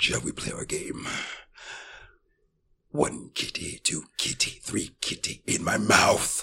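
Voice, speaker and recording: A man puts on a raspy character voice, talking fairly slowly with long, frequent pauses. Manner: sing-song, creepy, playful.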